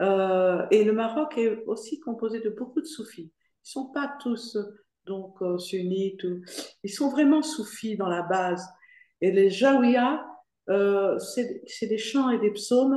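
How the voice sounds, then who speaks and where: Audible room echo fills the space as a woman with a fairly high pitch and a dark, mellow tone speaks at a very slow pace with lively intonation. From Morocco (Fès). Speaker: foundation president giving a testimony. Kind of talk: Q&A in an online lecture. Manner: hesitant, many fillers.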